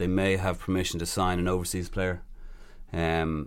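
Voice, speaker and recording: A man speaks with an Irish accent. His pitch is very deep and low. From Ireland. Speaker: player agent. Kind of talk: interview.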